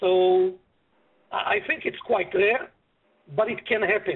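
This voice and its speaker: This speaker has a non-native accent and fairly even intonation. The delivery moves at a fairly slow pace. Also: man. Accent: foreign. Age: 50s. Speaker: business broker. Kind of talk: web seminar presentation. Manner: halting.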